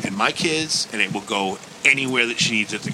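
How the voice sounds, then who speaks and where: Noticeable background noise sits behind a man speaking at a fairly quick pace. His pitch is medium with ordinary variation. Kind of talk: casual banter, crude and joking. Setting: studio. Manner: loud, rowdy, profane and gleefully teasing.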